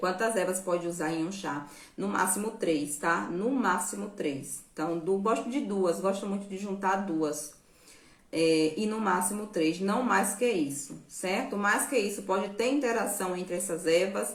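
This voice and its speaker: Speaking fairly slowly, a woman is heard with audible room echo. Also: medium pitch for a woman, ordinary pitch variation. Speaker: nutrition and herbal health educator. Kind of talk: live stream Q&A talk. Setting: live stream.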